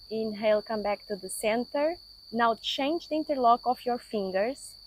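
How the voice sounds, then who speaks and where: A woman with a non-native accent speaks in a calm tone at a moderate pace. Her pitch is fairly high, with ordinary variation. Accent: non-native English, noticeable. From Portugal. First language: Portuguese. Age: 50s. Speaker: yoga teacher. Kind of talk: guided yoga class. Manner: calm, instructive.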